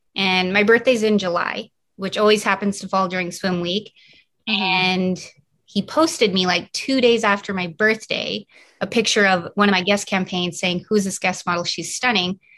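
A woman's medium-pitched voice, bright and sharp in tone, with fairly even intonation at a moderate pace over a quiet background. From Canada. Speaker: fashion model and fitness app founder. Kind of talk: casual interview chat.

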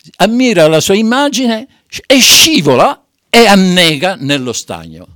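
A man with a high, bright, sharp voice talks at a fairly slow pace, swinging very widely in pitch. The sound is dry and close, with no echo. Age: 80s+. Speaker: amateur theatre company president. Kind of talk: dramatic storytelling; radio interview. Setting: radio studio. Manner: halting.

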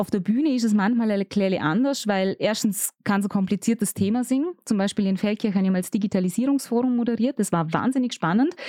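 A woman talks very fast with hardly any pauses, using a dark, mellow tone at a fairly high pitch with ordinary pitch variation and very even loudness. The very clean recording has a silent background and a dry, close sound with no echo. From Austria, Vorarlberg (Bregenzerwald). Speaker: radio and event presenter. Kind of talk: casual interview chat.

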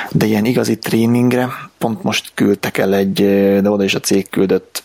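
Fairly low for a man, an ordinary speaking voice moves at a moderate pace with fairly even intonation. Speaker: IT professional, podcast co-host. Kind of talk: casual chat.

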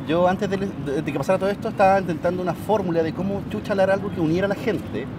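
A man with a Chilean accent and a high pitch, talking at a very fast pace amid noticeable background noise. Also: ordinary pitch variation. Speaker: protester. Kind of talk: casual chat.

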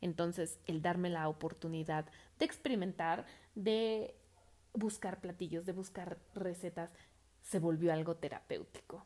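A woman's fairly low-pitched voice with a dark, mellow tone and fairly even intonation. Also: fairly slow pace. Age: 30s. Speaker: podcast host. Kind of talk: personal reflection monologue.

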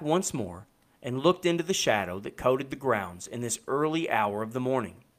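Very wide pitch swings run through this moderate-paced delivery in a Kentucky accent. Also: man. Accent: Kentucky Southern US. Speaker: podcast host and author, audiobook narrator. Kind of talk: audiobook narration with casual intro. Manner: casual, hesitant, filler-heavy.

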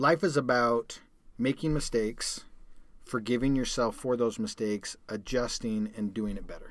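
Speaking at a moderate pace, a man uses a plain, everyday voice. His pitch is medium, with ordinary pitch variation. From Calgary, Canada. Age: 40s. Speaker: podcast host, endurance athlete. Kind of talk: casual chat.

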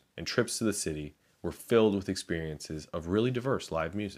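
This man has a very deep, low voice with an American accent, ordinary pitch variation, and a moderate pace. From Chicago, US Midwest. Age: 30s. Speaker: podcast host. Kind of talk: reading aloud a personal essay.

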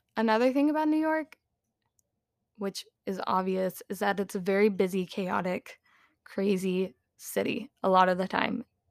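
A dry, close sound with no echo, moderate pace and long, frequent pauses in a very clean recording with a silent background. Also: woman, medium pitch for a woman. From South Carolina. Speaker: podcaster. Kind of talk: casual monologue. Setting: at home.

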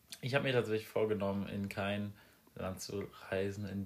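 Fairly even intonation marks this man's fairly low-pitched speech. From Rhineland-Palatinate, Germany (near Mainz). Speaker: podcast host, political science student. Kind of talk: casual chat. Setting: home recording.

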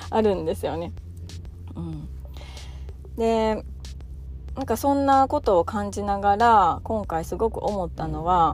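Over music in the background, a woman talks at a fairly slow pace, leaving long, frequent pauses. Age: 30s. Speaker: parenting podcast host, mother of three. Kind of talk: casual solo talk.

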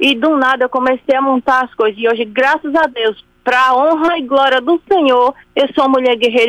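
High-pitched speech from a woman, delivered at a fairly quick pace. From Sergipe, Brazil. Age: 40s. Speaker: radio listener caller. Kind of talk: testimony. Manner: halting.

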